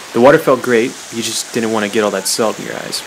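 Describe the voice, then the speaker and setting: Very fast speech from a man with a medium pitch over noticeable background noise. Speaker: student studying abroad. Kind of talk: travel vlog voice-over narration.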